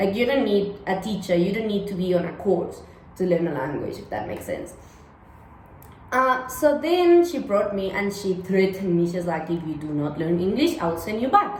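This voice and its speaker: The voice carries ordinary pitch variation, and audible room echo is in the recording. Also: woman. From Cuba. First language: Spanish. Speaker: vlogger. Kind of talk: casual vlog storytelling. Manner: chatty, lots of fillers.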